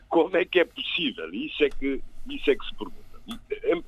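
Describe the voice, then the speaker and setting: A man speaking at a fairly slow pace. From Cape Verde. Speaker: political commentator. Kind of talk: radio panel debate.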